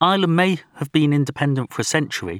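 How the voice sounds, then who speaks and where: The speech runs at a very fast pace. The sound is dry and close with no echo, on a very clean recording with a silent background. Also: man. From northern England (Merseyside/Wirral), then Essex. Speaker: author. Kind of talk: audiobook narration.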